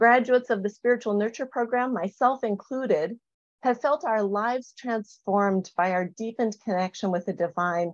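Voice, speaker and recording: A woman at a moderate pace with ordinary pitch variation, dry sound with no echo, and a quiet background. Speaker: spiritual program leader; presenter. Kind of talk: panel presentation. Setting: video call. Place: home room. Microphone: webcam.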